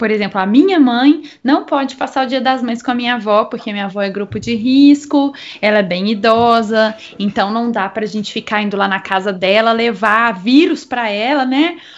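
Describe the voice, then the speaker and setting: Pitch varies in an ordinary way as a normal speaking voice goes along at a moderate pace. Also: woman, fairly high pitch for a woman. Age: 20s. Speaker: podcast host, brass musician. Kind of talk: casual chat.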